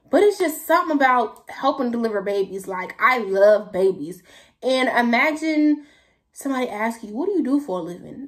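A woman with a high pitch speaks with very wide pitch swings and big swings in loudness over a quiet background. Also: moderate pace. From San Francisco Bay Area, California. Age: young. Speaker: YouTuber. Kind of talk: casual Q&A vlog. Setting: talking to camera at home. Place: home room. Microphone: phone near.

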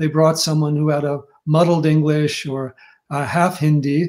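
Against a quiet background, a man with an American accent speaks in a fairly high, dark, mellow voice. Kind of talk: interview. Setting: video call. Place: home room.

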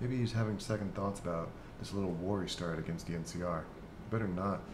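A man with an ordinary speaking voice, fairly low in pitch, at a fairly quick pace with ordinary pitch variation. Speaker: gaming YouTuber. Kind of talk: casual gameplay commentary. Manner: laughs often, relaxed.

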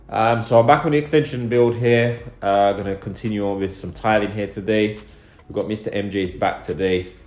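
With faint music in the background and audible room echo, a man speaks at a moderate pace in a fairly low pitch. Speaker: builder vlogger. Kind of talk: casual vlog chat. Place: home room. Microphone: phone near.

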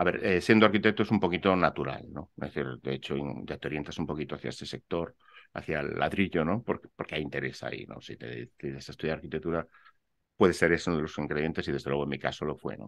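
A man with a very deep, low pitch and vocal fry speaks at a very fast pace, showing ordinary pitch variation and big swings in loudness. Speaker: architect and real estate investor; interview guest. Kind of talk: interview. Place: home room.

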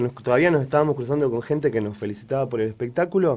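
The background stays quiet. A man talks at a medium pitch, with ordinary pitch variation. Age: 40s. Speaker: local resident, victim of harassment. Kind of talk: testimony. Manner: halting.

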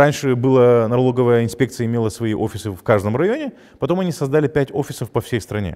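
A man with a dark, mellow tone talks very fast at a medium pitch with ordinary pitch variation against a quiet background. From Gagauzia, Moldova; Moldova. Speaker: journalist, head of a news site. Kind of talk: interview. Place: studio. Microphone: lapel.

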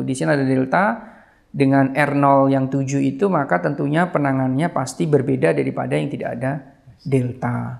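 At a fairly quick pace, a man speaks with lively intonation. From East Java, Banyuwangi; East Java, Indonesia. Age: 40s. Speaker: pediatric surgeon and geneticist; guest. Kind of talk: casual interview. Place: home room. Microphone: lapel.

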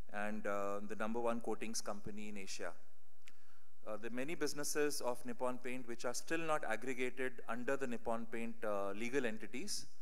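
At a fairly quick pace, a man speaks with ordinary pitch variation and very even loudness. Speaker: conference keynote speaker. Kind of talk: conference talk. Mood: slightly unwell, apologetic. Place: hall. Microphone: podium.

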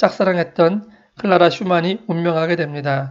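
Against a quiet background, the speaker goes at a very slow pace. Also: man. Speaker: musician and classical music channel host. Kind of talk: scripted narration. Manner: formal.

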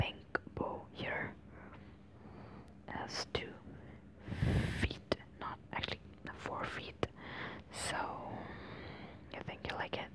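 Loud background noise runs under very slow speech broken by long, frequent pauses. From India. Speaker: ASMR creator. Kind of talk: ASMR roleplay, toy store shopkeeper. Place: home room.

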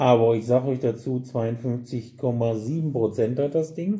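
The speaker is male, with a dark, mellow tone. There is a somewhat breathy quality to his voice. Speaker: whisky retailer reviewer. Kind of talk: tasting commentary. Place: shop.

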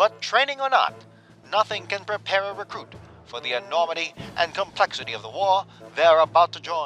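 Over music in the background, a man with a high pitch speaks in a raised, projected voice at a fairly quick pace, dramatic in tone, with very wide pitch swings. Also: big swings in loudness, dry, close sound with no echo. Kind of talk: newsreel-style narration for a video game. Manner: dramatic, authoritative.

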